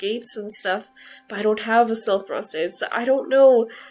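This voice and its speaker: A woman speaks at a moderate pace with fairly even intonation while music plays in the background. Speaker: video game content creator. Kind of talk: casual game commentary to camera.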